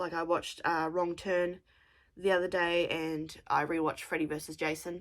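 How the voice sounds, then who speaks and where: A woman at a moderate pace with an Australian accent, in a very clean recording with a silent background. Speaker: craft podcaster. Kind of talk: casual chat.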